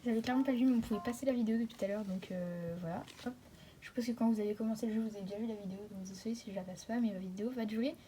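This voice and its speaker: A woman talks at a very fast pace, fairly high in pitch with ordinary pitch variation. Long, frequent pauses break up her speech, and noticeable background noise runs underneath. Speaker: gaming youtuber. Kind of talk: gameplay commentary. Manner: casual.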